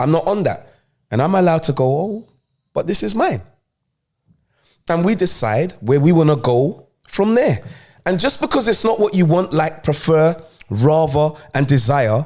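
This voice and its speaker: A man with a London accent, fairly high in pitch, animated in tone, with very wide pitch swings, long and frequent pauses, a moderate pace, and a very clean recording over a silent background. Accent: London multicultural English. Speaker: podcast co-host. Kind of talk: casual chat.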